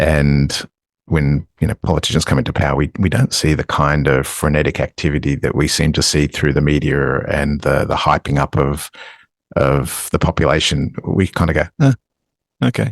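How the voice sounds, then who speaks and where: A man talks at a moderate pace in a very deep, low voice with ordinary pitch variation. His loudness stays very even, and the sound is dry and close with no echo. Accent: Australian. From Australia. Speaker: podcast co-host. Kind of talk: casual chat.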